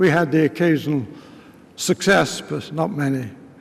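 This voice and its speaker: A man's fairly high voice in a British RP accent, ordinary pitch variation and a moderate pace. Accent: English RP, older British officer. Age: 80s+. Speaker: war veteran. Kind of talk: speech. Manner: halting.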